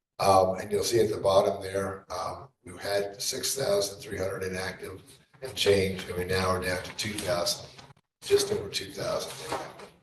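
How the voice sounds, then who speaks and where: A man's loudness swings widely as he speaks, with room echo clearly audible. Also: moderate pace. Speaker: election registrar. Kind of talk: presentation at a public board meeting. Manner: too quiet at times, asked to speak louder; hesitant, many fillers.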